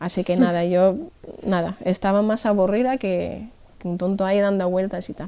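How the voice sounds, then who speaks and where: Speaking with an Irish accent, a woman has a dark, mellow tone. Her intonation is fairly even. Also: medium pitch for a woman, moderate pace. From Ireland. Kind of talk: interview answer, personal testimony.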